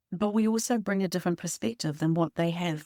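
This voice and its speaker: Very fast woman's voice in a New Zealand accent, fairly low and dark and mellow, with ordinary pitch variation, dry and close with no echo on a very clean recording with a silent background. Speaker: podcast co-host and publisher. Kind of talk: podcast interview.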